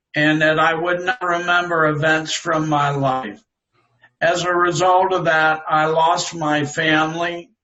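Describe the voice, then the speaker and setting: In an ordinary speaking voice, a man talks at a fairly slow pace with very even loudness and fairly even intonation. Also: fairly high pitch for a man. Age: 60s. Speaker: stroke survivor and author. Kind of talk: interview testimony.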